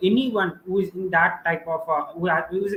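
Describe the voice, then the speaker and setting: A man with an Indian accent talks at a fairly quick pace. His voice is high-pitched, with ordinary pitch variation. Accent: Indian English (Telugu). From India, Andhra Pradesh (Visakhapatnam). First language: Telugu. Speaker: student author, math YouTuber. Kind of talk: live stream interview. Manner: hesitant, many fillers.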